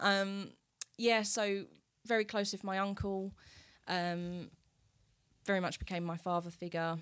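A woman with an Essex accent at a medium pitch, fairly slow and monotone, with long, frequent pauses, in a very clean recording with a silent background. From Essex, England. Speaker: wellness entrepreneur selling essential oils. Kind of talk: casual interview. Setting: studio.

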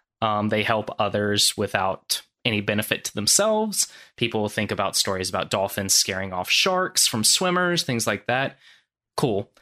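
An ordinary speaking voice from a man, fairly low in pitch, at a moderate pace with lively intonation. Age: 30s. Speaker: fisheries surveyor. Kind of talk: casual chat.

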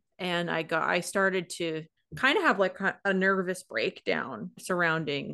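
The voice is bright and sharp-toned with vocal fry, in an American accent. It moves at a fairly slow pace with lively intonation over a quiet background. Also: woman. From US Pacific Northwest, Washington. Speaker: podcast co-host. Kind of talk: casual chat.

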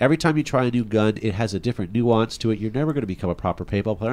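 A man speaks at a very fast pace with a medium pitch and lively intonation. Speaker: podcast host. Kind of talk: casual chat.

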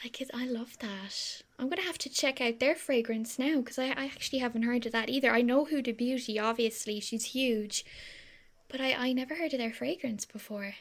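A woman with a Cork accent talks at a fairly quick pace and a high pitch, with ordinary pitch variation. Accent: Irish (Cork). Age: 20s. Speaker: podcast co-host. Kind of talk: casual chat.

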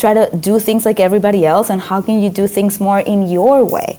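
With a Spanish accent, the speaker keeps a moderate pace and ordinary pitch variation. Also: woman. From Venezuela (Caracas). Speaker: author and motivational speaker. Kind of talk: interview.

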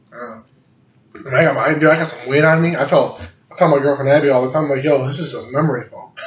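A man talks at a very fast pace with a fairly high pitch. Room echo is audible. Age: 20s. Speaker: podcast co-host. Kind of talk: casual chat. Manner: animated.

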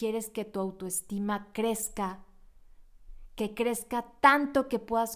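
A woman's fairly high voice at a very slow pace. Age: 40s. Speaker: psychologist and podcast host. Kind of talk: reflective monologue.

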